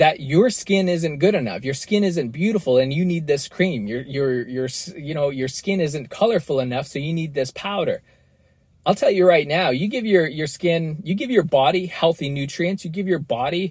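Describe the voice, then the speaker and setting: Here is a man with an ordinary speaking voice. His pitch is fairly high and his intonation lively. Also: moderate pace. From western Canada. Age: 30s. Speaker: podcast host. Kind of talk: solo podcast monologue. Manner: casual with many repetitions and fillers.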